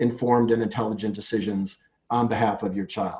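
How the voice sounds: This voice is a man's, pitched in the middle of his range. The tone comes across dark and mellow.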